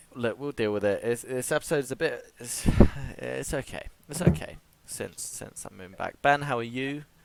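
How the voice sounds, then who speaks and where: Soft-spoken at a medium pitch, a man talks at a moderate pace with ordinary pitch variation and big swings in loudness over noticeable background noise. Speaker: podcast host. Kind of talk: casual chat. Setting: video call.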